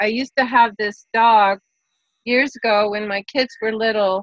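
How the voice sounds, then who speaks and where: Recorded dry and close with no echo, a woman speaks in a bright, sharp tone at a fairly high pitch with ordinary pitch variation. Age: 60s. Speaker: live show participant. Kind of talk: casual chat. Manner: halting.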